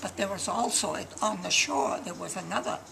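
Music plays in the background. Over it, a woman speaks at a moderate pace. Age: 80s+. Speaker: war veteran. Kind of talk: interview answer. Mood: cheerful, reminiscing. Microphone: camera far.

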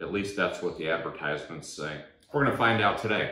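The voice belongs to a man and sits fairly low in pitch. Audible room echo surrounds it. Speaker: DIY reviewer. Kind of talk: tutorial. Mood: wry, humorous. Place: garage.

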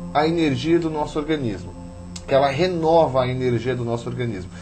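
A man's voice with faint music in the background. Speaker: ayurveda instructor guest. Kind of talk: interview answer. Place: studio.

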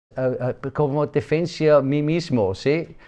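A man's dark, mellow voice in a non-native accent, fairly high-pitched, very slow and fairly even, over a quiet background. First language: not Spanish (speaking Spanish). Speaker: project president. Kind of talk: interview. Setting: office. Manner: halting. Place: office.

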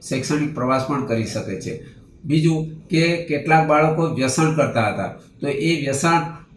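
Noticeable background noise and audible room echo surround a man who speaks at a fairly high pitch with fairly even intonation. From Dahod district, Gujarat, India. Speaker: primary school head teacher. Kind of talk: testimony. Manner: formal.

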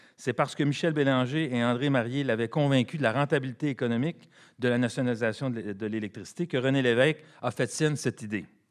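Against a quiet background, a man speaks in an ordinary speaking voice at medium pitch, at a moderate pace with ordinary pitch variation. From Quebec. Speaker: economics professor and former politician; economics professor, former politician. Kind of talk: panel presentation. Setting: conference with audience. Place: hall. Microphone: podium.

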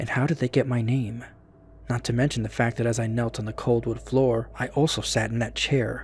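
Natural voice, reading aloud.

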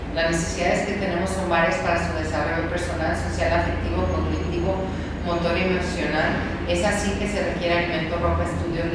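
Loud background noise and audible room echo accompany a woman talking at a fairly quick pace. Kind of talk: reading a letter aloud in a meeting. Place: meeting room.

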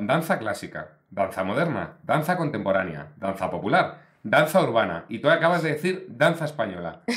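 A man at a moderate pace with hardly any pauses and very wide pitch swings, over a quiet background. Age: 40s. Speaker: podcast host. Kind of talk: casual interview chat. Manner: animated. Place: studio. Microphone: studio mic.

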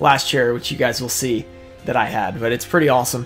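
Faint music sits behind the voice. A man delivers his words at a fairly quick pace. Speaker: trading card collector youtuber. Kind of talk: casual vlog chat.

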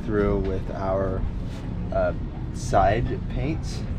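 There is loud background noise behind this man's voice. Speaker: boat owner vlogger. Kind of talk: casual vlog chat. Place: boat. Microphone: camera far.

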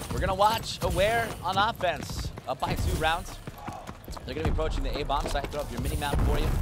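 A man's animated tone at a fairly quick pace, over noticeable background noise. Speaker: esports commentator. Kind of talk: live esports commentary, rapid play-by-play calling each kill and rotation. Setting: tournament stage with crowd. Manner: fast, animated, excitable.

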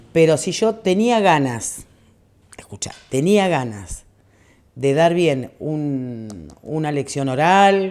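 A woman's very deep, low voice, dark and mellow, with very wide pitch swings over a quiet background. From Argentina, Buenos Aires province. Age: 50s. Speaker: radio collaborator. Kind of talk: interview. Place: bar.

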